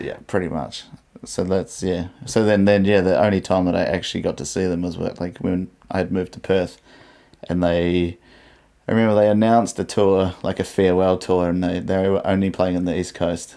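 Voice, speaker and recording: Intonation here is monotone and flat. The speaker has a New Zealand accent. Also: man, very deep, low pitch for a man, moderate pace. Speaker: podcast co-host. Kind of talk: casual chat. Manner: halting.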